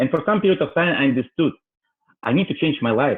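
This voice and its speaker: Talking at a very fast pace, a man with a strong non-native accent speaks with lively intonation. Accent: heavy foreign. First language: not English. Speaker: real estate broker. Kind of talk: testimony. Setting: online webinar. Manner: halting.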